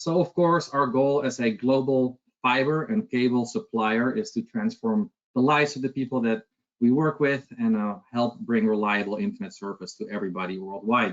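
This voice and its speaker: At a moderate pace and medium pitch, a man with a Dutch accent talks with very wide pitch swings. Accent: Dutch, noticeable. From Netherlands. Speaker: sales director. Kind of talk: product presentation webinar.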